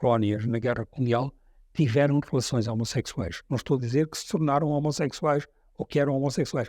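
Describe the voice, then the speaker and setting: In a very clean recording with a silent background, a man talks at medium pitch with a dark, mellow tone, ordinary pitch variation, and a dry, close sound with no echo. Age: 70s. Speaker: war veteran. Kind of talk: testimony.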